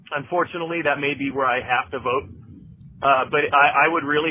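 Against noticeable background noise, a man of medium pitch talks at a very fast pace. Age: 30s. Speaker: listener. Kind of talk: voicemail message. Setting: phone voicemail.

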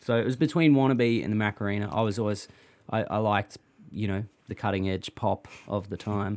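In a very clean recording with a silent background, a man talks at a fairly quick pace, his fairly low pitch varying in an ordinary way. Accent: Australian. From Australia, Melbourne (Thornbury). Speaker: singer-songwriter. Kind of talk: casual chat. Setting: outdoors, backyard hut.

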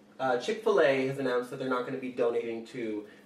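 A man talks at a very fast pace with ordinary pitch variation. The room echo is audible, and background noise is noticeable. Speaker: podcast producer. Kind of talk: reading news and listener questions.

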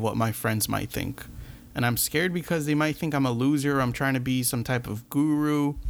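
In a normal speaking voice, a man goes at a fairly quick pace, medium in pitch with ordinary pitch variation. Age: 20s. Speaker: podcast host. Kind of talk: motivational monologue.

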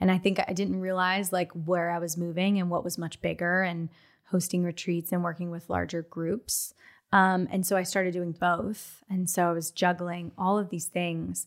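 At a moderate pace, a woman speaks at a fairly low pitch in a monotone, flat way, on a very clean recording with a silent background. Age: 30s. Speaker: podcast host. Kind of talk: casual chat.

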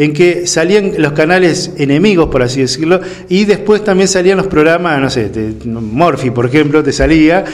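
Through audible room echo and noticeable background noise comes a man's high-pitched voice. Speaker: political commentator. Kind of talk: casual political discussion.

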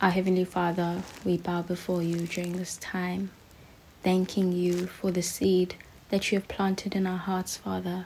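Somewhat breathy and dark, mellow in tone, a woman speaks at a moderate pace at a medium pitch with monotone, flat intonation. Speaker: podcast host. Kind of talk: devotional podcast with prayer. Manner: clear, direct.

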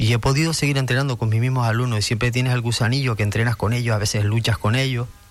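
A man at a medium pitch, talking at a very fast pace with very even loudness, music in the background. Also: fairly even intonation. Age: 50s. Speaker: karate coach and sports director. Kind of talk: radio interview.

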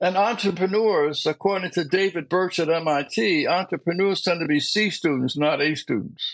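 Speaking with an American accent at a moderate pace, a man uses a high pitch, ordinary pitch variation and very even loudness, with hardly any pauses. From US Northeast, Philadelphia. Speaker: community activist and author. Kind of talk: interview.

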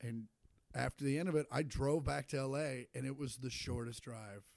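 A plain, everyday voice from a man with an American accent, medium-pitched with fairly even intonation, at a moderate pace, in a dry, close sound with no echo. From Kansas (Shawnee, Kansas City suburb). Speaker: stand-up comedian. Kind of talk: casual chat.

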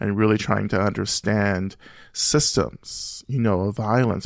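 A man with an American accent speaks at a fairly low pitch with vocal fry. The recording is very clean, with a silent background. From US South, Rome, Georgia. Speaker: Buddhist teacher and author. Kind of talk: interview conversation. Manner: reflective, frequent filler phrases.

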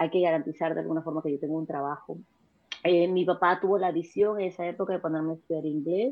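A woman speaks at a very fast pace with a fairly low pitch and fairly even intonation. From Peru. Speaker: businesswoman. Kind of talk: interview.

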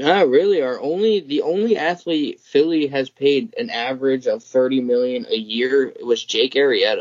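An unremarkable speaking voice moves at a moderate pace with lively intonation and hardly any pauses. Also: man, fairly high pitch for a man. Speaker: podcast host. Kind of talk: casual sports banter. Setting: video call.

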